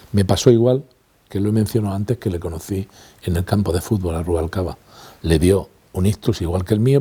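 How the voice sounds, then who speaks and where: The voice is somewhat breathy with a dark, mellow tone. It moves at a moderate pace with ordinary pitch variation. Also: man. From Spain, Granada (Andalusia). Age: 60s. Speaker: retired language institute director and teacher. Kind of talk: interview testimony.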